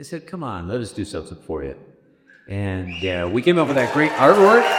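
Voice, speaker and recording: A man's voice with an American accent, a normal speaking voice, fairly low in pitch with lively intonation, on a very clean recording with a silent background. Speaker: radio host. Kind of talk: speech to a concert audience. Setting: stage with audience. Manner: casual, joking.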